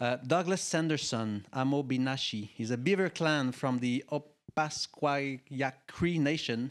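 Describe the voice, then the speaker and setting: With a French accent, a man talks at a fairly high pitch and leaves hardly any pauses. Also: ordinary pitch variation, fairly slow pace. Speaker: panel moderator. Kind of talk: panel discussion moderation. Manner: halting, many fillers.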